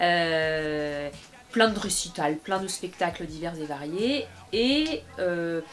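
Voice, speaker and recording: A woman speaks at a very slow pace with a fairly low pitch and lively intonation. Noticeable background noise runs behind her. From France, Bobigny (Seine-Saint-Denis, Paris suburbs). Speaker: opera singer and actress. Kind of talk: interview. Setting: studio. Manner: hesitant, many fillers.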